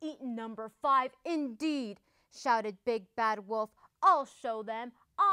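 Delivered in a natural reading voice, the speech shows ordinary pitch variation against a quiet background.

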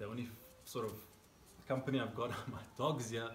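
Light background noise with audible room echo. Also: man. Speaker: fitness coach. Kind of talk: casual workout intro chat. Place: garden. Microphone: camera far.

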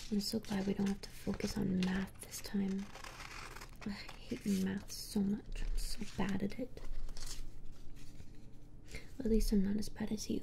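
A soft-spoken woman talks at a fairly slow pace in a monotone, flat intonation, with long, frequent pauses over light background noise. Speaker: roleplay streamer. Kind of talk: soft casual roleplay chat. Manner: soft-spoken, hushed ASMR voice. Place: home room.

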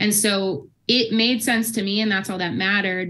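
An ordinary speaking voice with an American accent, at a moderate pace and with fairly even intonation. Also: woman. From US Midwest. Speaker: subconscious health practitioner; podcast guest. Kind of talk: interview. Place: home room. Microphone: video call.

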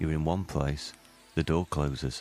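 A man's very deep, low voice with fairly even intonation, music in the background. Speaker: radio presenter. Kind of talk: radio show presenter link.

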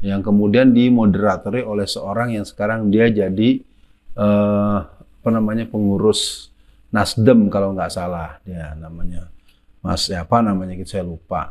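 At a moderate pace, a man with a fairly low pitch and fairly even intonation talks in an ordinary speaking voice against a quiet background. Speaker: preacher and anti-communist speaker. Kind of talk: religious and political lecture in interview format. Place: home room. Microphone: lapel.

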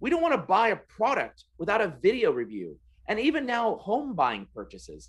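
The tone is animated and the pace moderate, against a quiet background. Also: man. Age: 40s. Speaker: sales trainer. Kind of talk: interview. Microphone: video call.

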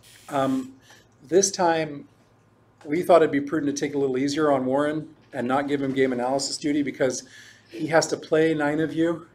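Against light background noise, a man speaks with monotone, flat intonation. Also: fairly high pitch for a man, moderate pace. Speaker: chess lecturer. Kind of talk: lecture. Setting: chess club room with live audience. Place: hall.

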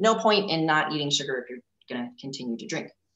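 A woman speaks with a very deep, low pitch. Audible room echo surrounds her voice. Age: 40s. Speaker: leadership coach. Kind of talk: casual interview chat. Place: home room. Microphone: video call.

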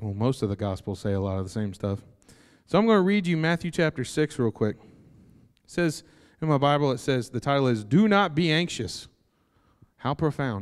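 Over a quiet background, a man speaks at a fairly quick pace and a fairly high pitch, with very wide pitch swings, big swings in loudness and long, frequent pauses. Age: 30s. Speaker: preacher. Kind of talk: sermon. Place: church. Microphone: handheld.

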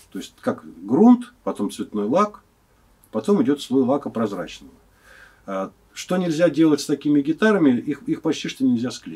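Against a quiet background, a man with a fairly high pitch and a dark, mellow tone speaks at a moderate pace, his pitch swinging very widely between long, frequent pauses. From Moscow, Russia; Russia. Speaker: guitar maker. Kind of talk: interview. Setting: workshop. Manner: halting. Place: workshop.

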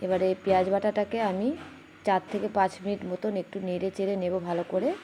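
With noticeable background noise behind her, a woman speaks at a medium pitch in a monotone, flat delivery. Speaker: cooking youtuber. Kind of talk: cooking tutorial. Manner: halting, words sometimes catch.

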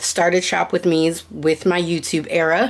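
At a moderate pace, a woman talks in a fairly low pitch. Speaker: vlogger. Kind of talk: casual vlog chat. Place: home room. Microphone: phone near.

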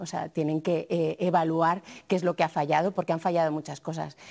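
With an unremarkable speaking voice, a woman talks at a fairly quick pace, fairly low in pitch and with fairly even intonation, against a quiet background. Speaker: TV journalist. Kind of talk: TV panel discussion. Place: studio. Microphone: lapel.

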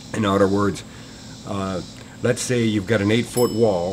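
A man with an unremarkable speaking voice, fairly low in pitch, at a moderate pace with fairly even intonation over light background noise. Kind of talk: interview answer. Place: workshop.

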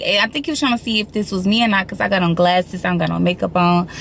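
The recording is dry with no echo and has light background noise. The speaker is a woman. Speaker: lifestyle vlogger. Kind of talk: casual vlog chat. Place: car. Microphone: phone near.

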